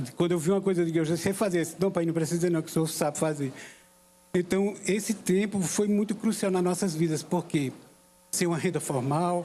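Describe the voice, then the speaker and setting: This man talks at a fairly quick pace with a high pitch. His intonation stays fairly even. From Paraíba backlands, Brazil. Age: 60s. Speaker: call center employee. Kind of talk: personal testimony speech. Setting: inauguration ceremony with audience.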